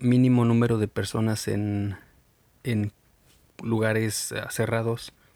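Very slowly and in a flat monotone, a man talks with a fairly low pitch and a dark, mellow tone, captured in a very clean recording with a silent background. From Mexico. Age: 30s. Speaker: podcast host. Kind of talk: solo podcast monologue. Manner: halting, with fillers and repetitions.

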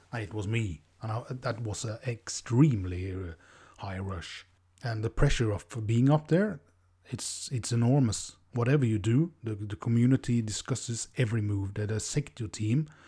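On a very clean recording with a silent background, a man speaks with a Norwegian accent. His tone is dark, mellow and somewhat breathy, with ordinary pitch variation. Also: medium pitch for a man, moderate pace. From Norway. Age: 30s. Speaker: podcast host. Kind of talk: monologue podcast. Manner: halting, many fillers.

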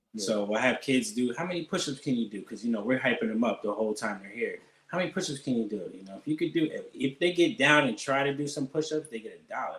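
A man with an American accent talks very fast in a fairly high voice, with hardly any pauses. His pitch swings very widely and his loudness shifts in big swings. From Allentown, Pennsylvania. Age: 30s. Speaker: barber. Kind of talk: casual interview.

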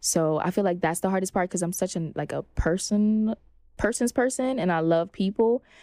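A woman with an American accent speaks at a medium pitch and a moderate pace, in a dark, mellow tone with ordinary pitch variation. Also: dry, close sound with no echo. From Flatbush, Brooklyn, New York. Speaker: actress and entrepreneur. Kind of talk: casual interview. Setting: podcast studio.

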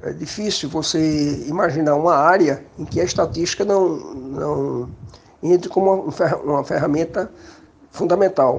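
The speech moves at a fairly slow pace with long, frequent pauses and ordinary pitch variation, over noticeable background noise. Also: man, fairly high pitch for a man. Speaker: statistics professor. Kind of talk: interview testimony.

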